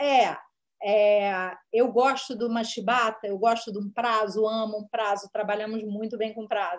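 Her pitch fairly high, a woman speaks in a monotone, flat intonation. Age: 40s. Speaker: screenwriter and director. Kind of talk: interview.

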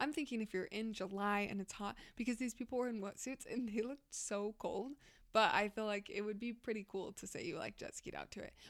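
An unremarkable speaking voice at a fairly quick pace, with ordinary pitch variation. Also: woman, fairly high pitch for a woman. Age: 20s. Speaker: podcast co-host. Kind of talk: casual chat. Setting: studio.

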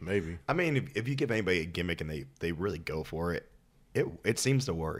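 Fairly quick speech in an American accent, with very wide pitch swings. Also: man, very deep, low pitch for a man, very clean recording, silent background. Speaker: podcast producer and co-host. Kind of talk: casual chat.

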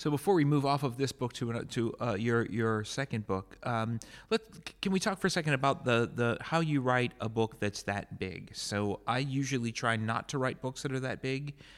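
A man's unremarkable speaking voice, medium in pitch with ordinary pitch variation and an American accent, on a very clean recording with a silent background. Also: moderate pace. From United States. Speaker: podcast host and military history professor. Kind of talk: interview. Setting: hotel room at a conference.

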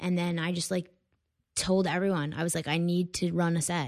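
Here is a woman with an American accent and an ordinary speaking voice. Her pitch is fairly low, her pace moderate, and the recording very clean with a silent background. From Connecticut, US. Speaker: stand-up comedian. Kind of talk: casual chat.

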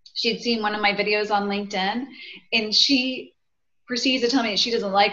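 With ordinary pitch variation, a woman's fairly high voice rings out amid audible room echo. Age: 40s. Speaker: author and women's group leader. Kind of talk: casual chat.

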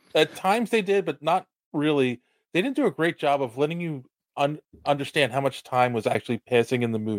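A man with a normal speaking voice talks at a fairly quick pace, his pitch fairly high and his intonation lively. The recording is very clean with a silent background, and the sound is dry and close with no echo. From Philadelphia. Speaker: podcast host. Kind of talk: casual chat.

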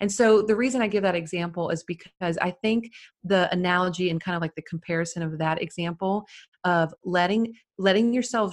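A normal speaking voice from a woman at medium pitch, with ordinary pitch variation and a moderate pace, on a very clean recording with a silent background. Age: 30s. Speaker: wedding photographer and educator. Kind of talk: interview.

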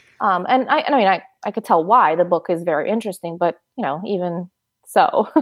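A woman's plain, everyday voice, fairly quick, with lively intonation. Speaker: high school English teacher. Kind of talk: interview.

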